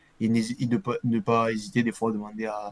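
Fairly even intonation shapes the medium-pitched voice of a man. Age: 20s. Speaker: football supporter and jersey collector. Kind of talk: casual interview. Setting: live video stream. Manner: casual, hesitant with fillers.

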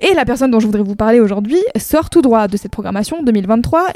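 Her intonation is lively and her tone animated, set at a fairly high pitch. The woman's recording sounds dry and close, with no echo. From France, Saint-Nazaire. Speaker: music podcast co-host. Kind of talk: casual chat.

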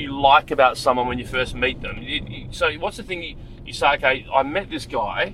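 With noticeable background noise behind him, a man in an Australian accent speaks at a fairly slow pace and fairly high pitch. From Wollongong, Australia. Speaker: rideshare driver and podcast host. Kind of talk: casual chat. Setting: in a car.

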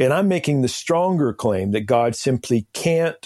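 Recorded dry and close with no echo, a man with an American accent uses lively intonation and a dark, mellow tone. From eastern Washington State, US. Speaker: theologian and author. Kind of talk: interview.

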